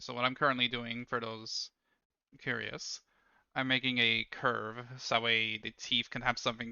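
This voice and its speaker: The speaker mumbles. The pace is moderate. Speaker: 3D artist streamer. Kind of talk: livestream tutorial commentary. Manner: mumbling.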